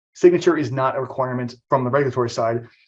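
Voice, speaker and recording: Somewhat breathy and very fast, a man with a medium pitch speaks with ordinary pitch variation. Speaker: trade compliance trainer. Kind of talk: webinar presentation.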